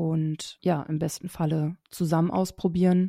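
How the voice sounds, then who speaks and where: A woman speaks at a very slow pace in a monotone, flat intonation with a dark, mellow tone. The sound is dry and close with no echo, in a very clean recording with a silent background. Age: 30s. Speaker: speech therapist. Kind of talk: podcast interview.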